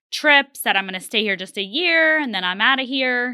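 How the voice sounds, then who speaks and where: Her bright, sharp tone and lively intonation come through in a very clean recording with a silent background. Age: 30s. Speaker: real estate agent. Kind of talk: interview. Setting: studio.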